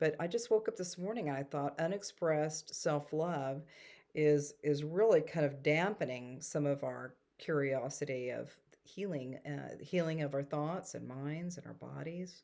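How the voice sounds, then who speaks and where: A woman with a Texan accent talks at a moderate pace in a very deep, low pitch with a dark, mellow tone and ordinary pitch variation. The recording is very clean, and the background is silent. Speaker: spiritual storyteller and energy healer. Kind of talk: casual talk to camera.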